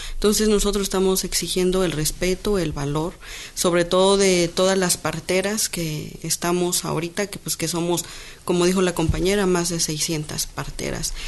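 Noticeable background noise sits behind a woman speaking in a fairly low pitch with monotone, flat intonation. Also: moderate pace. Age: young. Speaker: midwife and spokeswoman. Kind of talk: interview. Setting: radio studio.

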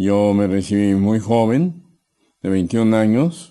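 Against a quiet background, a man with a dark, mellow tone speaks at a very slow pace, medium in pitch, with ordinary pitch variation. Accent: Mexican. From Mexico City. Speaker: chiropractor. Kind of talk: interview. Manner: hesitant, with fillers.

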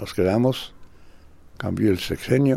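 A man at a fairly slow pace, his tone dark and mellow. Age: 80s+. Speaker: dancer and choreographer. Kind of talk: interview testimony. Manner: animated.

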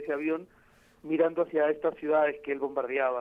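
With a fairly quick pace, this man's voice sits fairly high in pitch. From Peru. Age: 40s. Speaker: novelist and journalist. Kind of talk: interview. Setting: phone call. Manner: halting, many fillers.

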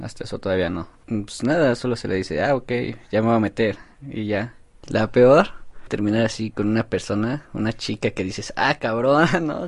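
At a moderate pace, a man talks in a normal speaking voice of medium pitch, with ordinary pitch variation. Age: 19. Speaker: laborer. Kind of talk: testimony.

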